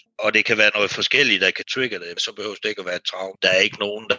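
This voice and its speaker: A man speaks at a fairly quick pace. The sound is dry and close, with no echo at all. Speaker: mental health advocate. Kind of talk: interview. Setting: video call. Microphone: bad connection, crackling.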